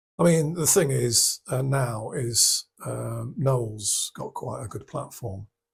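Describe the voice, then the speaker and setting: A man talks at a very slow pace with an English accent, hardly pausing at all. The sound is dry and close, with no echo. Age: 60s. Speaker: war veteran and bereaved father. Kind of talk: interview.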